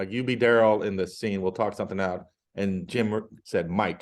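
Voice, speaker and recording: Over a quiet background, a man with a plain, everyday voice and fairly low pitch speaks at a moderate pace with ordinary pitch variation. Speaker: podcast host. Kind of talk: casual chat.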